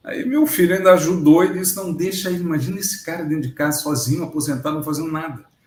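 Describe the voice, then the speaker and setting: In a room with audible echo, a man rattles along at a very fast pace with hardly any pauses, his high-pitched voice animated. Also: ordinary pitch variation. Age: 60s. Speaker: agronomist and retired researcher, interviewee. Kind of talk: casual interview chat.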